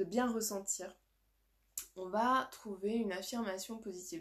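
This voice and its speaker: Speaking at a very slow pace, a woman keeps a fairly high pitch with ordinary pitch variation. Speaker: life coach. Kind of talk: live stream workshop. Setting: live video stream. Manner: animated.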